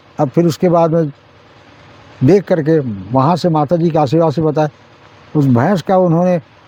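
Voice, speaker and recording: Noticeable background noise runs under speech with long, frequent pauses and ordinary pitch variation. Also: man. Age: 80s+. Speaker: village elder storyteller. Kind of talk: folk tale narration in interview.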